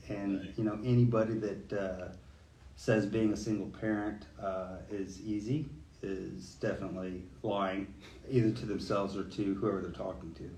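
Somewhat breathy and fairly low in pitch, a man's voice has a dark, mellow tone, ordinary pitch variation and a moderate pace. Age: 40s. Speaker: police lieutenant. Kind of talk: casual chat.

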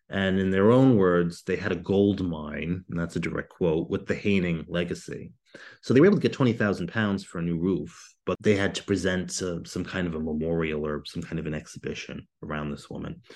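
With a very deep, low pitch, a man talks at a fairly quick pace and ordinary pitch variation. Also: hardly any pauses, quiet background. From United States. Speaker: historian. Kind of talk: interview. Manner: halting.

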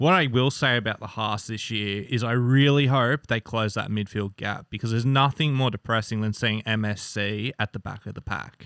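A man speaks with an Australian accent at a medium pitch. His pace is moderate, with hardly any pauses. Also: ordinary pitch variation. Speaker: motorsport fan. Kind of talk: casual chat.

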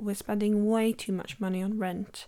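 A woman speaks with an English Midlands accent in a dark, mellow tone. The recording is very clean, with a silent background. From English West Midlands, Worcestershire. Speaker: photographer and podcast host. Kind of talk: solo podcast monologue. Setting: home recording.

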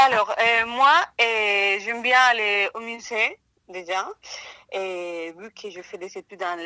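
A woman's bright, sharp voice with a Spanish accent, at a very slow pace and ordinary pitch variation, on a very clean recording with a silent background. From Colombia. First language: Spanish (speaking French). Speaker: art history student, museum worker. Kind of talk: casual interview. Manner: hesitant, many fillers.

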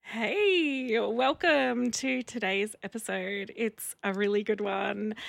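A woman with an Australian accent, fairly high in pitch, very slow, with very wide pitch swings and hardly any pauses. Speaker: podcast host. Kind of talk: casual interview.

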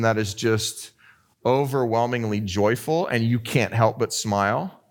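In an unremarkable speaking voice, the speaker talks fairly slowly with ordinary pitch variation on a very clean recording with a silent background. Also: man. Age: 40s. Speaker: pastor. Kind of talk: sermon.

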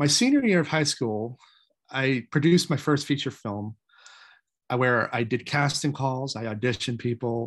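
This is a man with an ordinary speaking voice at medium pitch. He talks at a moderate pace with ordinary pitch variation over a quiet background. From Maine, US. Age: 40s. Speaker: independent filmmaker. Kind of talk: interview.

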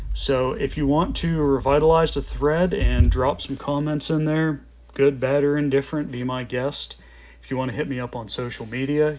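This man has a normal speaking voice. His pitch is fairly high. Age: 30s. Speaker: podcast host and motocross rider. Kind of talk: casual solo monologue.

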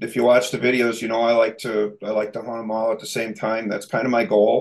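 With an American accent, a man speaks at a fairly quick pace and medium pitch in an ordinary speaking voice. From Minnesota. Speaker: remodeling contractor and hunting video creator. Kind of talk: casual interview chat.

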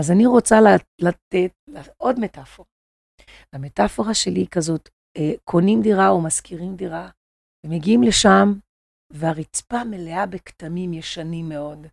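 A woman's fairly low voice at a fairly slow pace, with long, frequent pauses and a dry, close sound with no echo. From Brazil, Rio de Janeiro. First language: Portuguese (speaking Hebrew). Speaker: psychoanalytic therapist. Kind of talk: podcast interview. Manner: halting.

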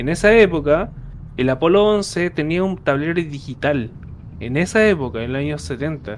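Lively intonation and a moderate pace from a man with an ordinary speaking voice, pitched fairly high. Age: 30s. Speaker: podcast host. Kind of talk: casual chat.

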